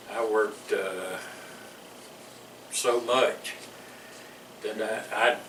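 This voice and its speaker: A very slow man's voice in a Louisiana accent, with long, frequent pauses, audible room echo and noticeable background noise. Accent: Louisiana Southern US. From US South. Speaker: military veteran. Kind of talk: oral history interview. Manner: halting, repeats words.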